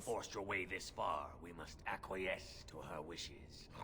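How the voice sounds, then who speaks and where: Over loud background noise, a man puts on a character voice with a very deep, low pitch. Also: moderate pace. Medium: video game. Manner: formal, solemn.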